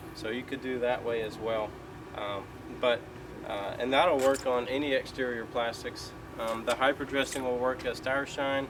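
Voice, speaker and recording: A man speaks with a Southern US accent at a medium pitch and fairly even intonation. Noticeable background noise sits behind him. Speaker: car detailer. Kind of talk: tutorial. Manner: fast.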